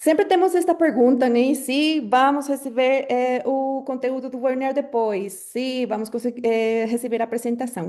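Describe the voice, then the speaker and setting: A woman speaks with a Colombian accent in a dark, mellow tone at a moderate pace. Her pitch varies in an ordinary way, against a quiet background. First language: Spanish (speaking Portuguese). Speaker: webinar moderator, marketing professional. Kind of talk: webinar moderation. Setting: online webinar on Zoom. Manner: frequent filler hesitations.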